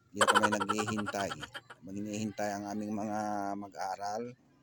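Through noticeable background noise, a man speaks at a fairly low pitch and moderate pace with monotone, flat intonation. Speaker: vlogger and gardener. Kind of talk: casual vlog narration. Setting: outdoors in a garden.

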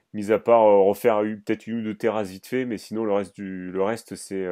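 Moderately paced, a man speaks in a dark, mellow tone at a fairly low pitch. The background is quiet. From France, Dordogne. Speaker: podcast host. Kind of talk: interview. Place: home room. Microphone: studio mic.

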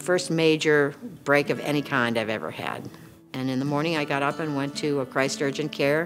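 Clear music plays behind a woman whose voice is very deep and low, speaking at a moderate pace. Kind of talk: interview answer. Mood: warm, storytelling. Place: studio.

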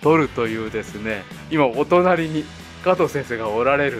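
Fairly slow-paced man with clear music in the background. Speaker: podcast host. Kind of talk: podcast introduction. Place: home room.

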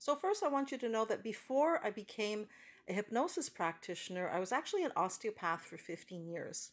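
A woman speaks at a fairly quick pace with very wide pitch swings. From Canada. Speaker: hypnotherapist. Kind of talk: promotional talk to camera. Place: car. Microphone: phone near.

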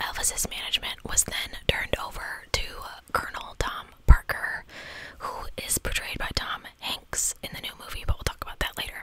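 A soft-spoken woman whispers at a moderate pace, her loudness swinging widely. The sound is dry, with no echo. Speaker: streamer or storyteller. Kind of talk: reading a history narration. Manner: soft close-mic ASMR whisper. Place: home room. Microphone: studio mic.

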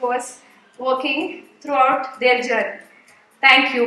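A woman uses a raised, projected voice. Audible room echo surrounds her, with faint music in the background. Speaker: event host. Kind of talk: stage speech to an audience. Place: hall.

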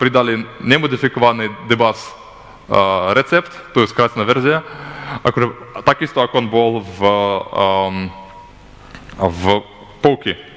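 A man talks at a fairly slow pace. He leaves long, frequent pauses. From Belarus. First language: not Slovak (speaking Slovak). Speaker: software developer; conference presenter. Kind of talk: conference talk. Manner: halting. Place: hall.

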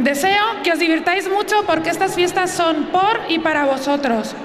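A woman's extremely high voice at a moderate pace, with ordinary pitch variation and noticeable background noise. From Spain. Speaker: town councillor for festivities. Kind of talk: public speech from a town hall balcony. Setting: outdoors, PA system. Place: street. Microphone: podium.

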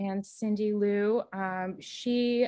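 A woman speaks at a medium pitch with a warm tone and ordinary pitch variation. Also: quiet background. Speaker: art teacher. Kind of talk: presentation. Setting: video call. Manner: warm and encouraging. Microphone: video call.

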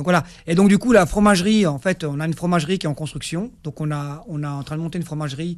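A man talks at a fairly high pitch with ordinary pitch variation. The background is quiet. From Algeria (Kabylie); Algeria. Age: 50s. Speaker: farmer and livestock breeder; radio guest. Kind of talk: radio interview. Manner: hesitant, many fillers. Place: studio. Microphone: studio mic.

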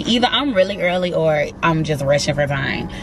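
Clear music plays in the background as a woman speaks at a moderate pace, the sound dry with no echo. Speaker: flight attendant vlogger. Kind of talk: casual vlog chat. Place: car. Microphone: phone near.

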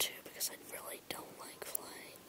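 Over noticeable background noise, a whisper unfolds at a very slow pace. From England. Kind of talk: casual talk to camera; ASMR whisper. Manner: whispered.

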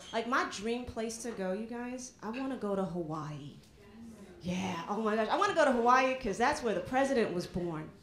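A woman with a fairly high pitch talks at a fairly quick pace with lively intonation, with audible room echo and light background noise. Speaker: stand-up comedian. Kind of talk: stand-up comedy set, punchy airport-travel bits. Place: bar. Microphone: handheld.

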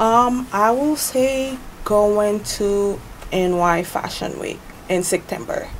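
The background carries noticeable noise. Her pitch sits in the middle range for a woman's voice. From Haiti. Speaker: fashion designer. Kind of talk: TV interview. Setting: TV studio. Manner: halting.

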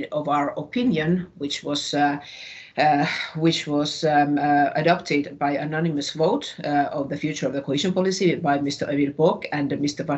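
A woman with a Finnish accent speaks at a fairly slow pace. Her pitch is very deep and low, with ordinary pitch variation. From northern Finland, Tornio border area. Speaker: regional politician. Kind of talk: panel debate contribution.

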